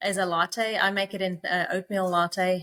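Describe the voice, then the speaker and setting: Speaking in a South African accent, a woman uses a bright, sharp tone at a medium pitch and a moderate pace. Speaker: company co-founder. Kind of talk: podcast interview.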